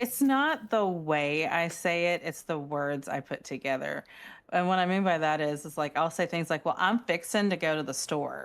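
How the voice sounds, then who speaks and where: On a very clean recording with a silent background, a woman talks in a Southern accent. Her pitch is fairly low, with ordinary pitch variation. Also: moderate pace. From US South. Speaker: podcast co-host. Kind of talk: casual chat.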